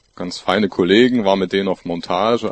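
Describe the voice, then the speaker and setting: In a normal speaking voice, a man talks at a moderate pace with a fairly low pitch and fairly even intonation. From Görlitz, Saxony (eastern Germany). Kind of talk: panel discussion.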